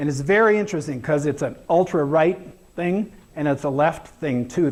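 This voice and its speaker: A man talks at a moderate pace in a fairly high pitch, with ordinary pitch variation. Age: 60s. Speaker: education speaker. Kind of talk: conference talk with slides. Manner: casual, hesitant with fillers.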